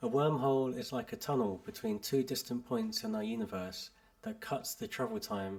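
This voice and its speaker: A British-accented man with a medium pitch and very wide pitch swings. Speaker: English teacher. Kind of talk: article read aloud for learners. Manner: clear, measured.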